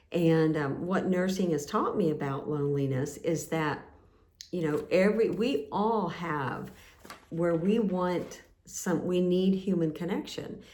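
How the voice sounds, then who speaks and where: A woman's dark, mellow tone at a fairly slow pace, with audible room echo. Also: fairly low pitch for a woman, ordinary pitch variation. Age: 60s. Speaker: nurse and channel host. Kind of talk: casual talk to camera. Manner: halting, many fillers.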